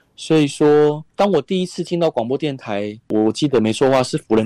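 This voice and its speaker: Dry and close with no echo, the recording carries the man's dark, mellow tone. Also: very clean recording, silent background. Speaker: author and radio host. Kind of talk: interview.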